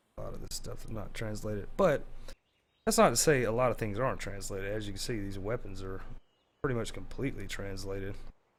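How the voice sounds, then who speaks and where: A man's fairly low voice at a very fast pace, with fairly even intonation and big swings in loudness. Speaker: gaming YouTuber. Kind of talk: gameplay tutorial. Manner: casual, filler-heavy.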